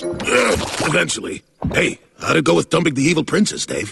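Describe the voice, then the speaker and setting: Using a cartoonish character voice, a man talks at a fairly quick pace with a fairly high pitch. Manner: hesitant, lots of uh.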